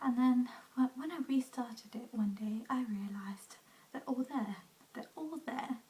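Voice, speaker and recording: Whispering, a soft-spoken voice talks. The pace is fairly slow. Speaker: beauty/lifestyle vlogger. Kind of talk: casual vlog monologue. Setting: at home. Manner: whispering, soft; hesitant, many fillers.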